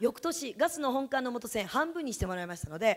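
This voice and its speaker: A woman talks fairly quickly in an animated tone against a quiet background. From Japan, Yamanashi; Japan. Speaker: direct sales distributor, former teacher. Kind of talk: sales seminar talk. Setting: stage with audience. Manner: fast. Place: meeting room. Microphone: handheld.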